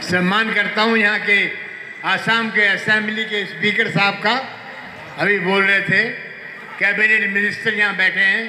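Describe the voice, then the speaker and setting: In a raised, projected voice, a man speaks at a fairly slow pace with monotone, flat intonation, against light background noise and audible room echo. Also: very even loudness. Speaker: guest film actor. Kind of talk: stage speech. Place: stage.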